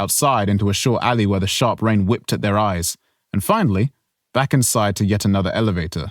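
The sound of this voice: Quiet surroundings behind an unforced reading voice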